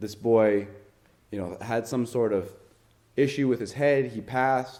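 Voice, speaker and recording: A man's dark, mellow voice with a Rhode Island accent, medium in pitch with ordinary pitch variation, at a moderate pace amid audible room echo. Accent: Northern Rhode Island. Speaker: lay preacher. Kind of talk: sermon.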